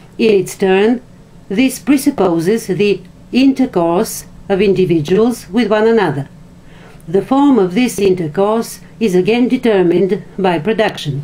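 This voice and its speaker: A woman with a non-native accent, medium in pitch, fairly slow, and very even in loudness. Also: ordinary pitch variation. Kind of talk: philosophy text reading.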